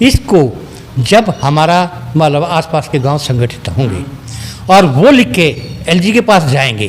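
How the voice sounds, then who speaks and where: Amid noticeable background noise, a man with a fairly high voice makes very wide pitch swings and takes long, frequent pauses. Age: 60s. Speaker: village elder, local resident. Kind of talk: interview.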